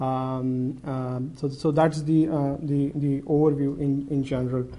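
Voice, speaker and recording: A man speaks at a fairly high pitch in a dark, mellow tone with monotone, flat intonation. There is audible room echo. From India. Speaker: banking technology manager. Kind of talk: conference presentation. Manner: halting with many fillers.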